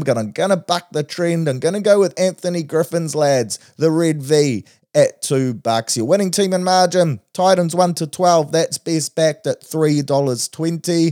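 With a New Zealand accent, a man talks at a fairly high pitch with ordinary pitch variation and a dark, mellow tone, the sound dry and close with no echo. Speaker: podcast host, betting tipster.

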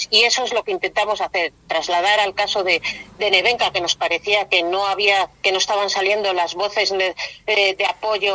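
This woman has a normal speaking voice at medium pitch and a moderate pace. Her intonation is fairly even, and the sound is dry and close with no echo. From Spain, Valladolid. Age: 50s. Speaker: feminist activist. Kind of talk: interview.

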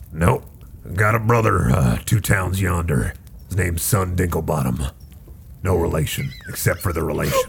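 Putting on a gruff character voice, a man speaks at a very deep, low pitch over clear background noise. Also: moderate pace. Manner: folksy, upselling salesman patter.

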